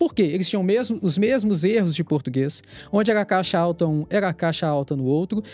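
This man speaks fairly quickly with a high pitch for a man. His intonation is lively. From Minas Gerais, Brazil (Itabira). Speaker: federal police investigator. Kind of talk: podcast interview.

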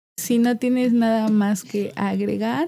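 Her dark, mellow voice is somewhat breathy, with ordinary pitch variation. The woman talks at a fairly slow pace. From Cozumel, Quintana Roo, Mexico. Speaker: podcast host, literature student. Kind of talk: casual chat.

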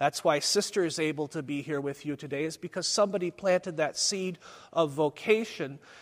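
With ordinary pitch variation, a man speaks in an ordinary speaking voice. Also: very clean recording, silent background. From US Midwest, Springfield, Missouri. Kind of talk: conference talk. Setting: conference hall with live audience.

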